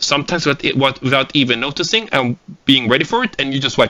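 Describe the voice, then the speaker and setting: Quick and lively in intonation, a man talks at a fairly quick pace in a bright, sharp tone. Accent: Swedish. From Sweden. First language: Swedish. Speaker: gaming tactics instructor. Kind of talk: lecture. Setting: recorded seminar without audience.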